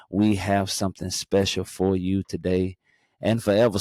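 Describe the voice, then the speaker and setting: A man with a slight North Carolina accent on a very clean recording with a silent background. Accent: slight North Carolina twang. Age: 40s. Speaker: podcast host. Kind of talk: show intro; casual chat.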